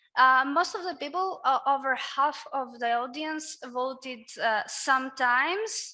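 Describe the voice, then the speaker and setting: Raised and projected, a high-pitched woman's voice with a Greek accent carries lively intonation at a fairly slow pace, with hardly any pauses. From Greece. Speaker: workshop moderator. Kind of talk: panel discussion.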